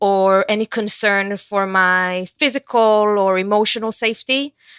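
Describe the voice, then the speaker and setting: Captured in a very clean, silent recording with a dry, close sound and no echo, a woman speaks with fairly even intonation. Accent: Israeli. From Israel. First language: Hebrew. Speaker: university student. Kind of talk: interview.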